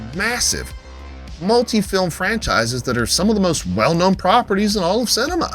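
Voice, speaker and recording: With music behind him, a man delivers his words fairly quickly. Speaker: film reviewer / YouTuber. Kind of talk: casual talk to camera, opinion commentary. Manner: emphatic, heated, profane.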